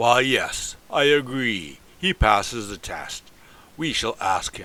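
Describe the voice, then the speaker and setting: A man's put-on character voice at a medium pitch, full of lively intonation and big swings in loudness. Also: fairly slow pace. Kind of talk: old-fashioned formal speech. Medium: read story. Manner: forceful, demanding.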